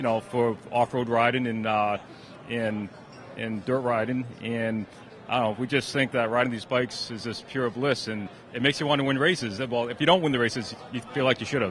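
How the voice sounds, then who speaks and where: Over noticeable background noise, a man with an American accent talks fairly quickly at a medium pitch with fairly even intonation. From Massachusetts, US. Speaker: sponsored amateur bike racer. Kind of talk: trade show interview.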